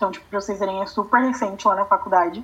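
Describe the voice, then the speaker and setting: A woman's medium-pitched voice with ordinary pitch variation, a plain, everyday voice. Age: 20s. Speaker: law student, activist. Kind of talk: interview.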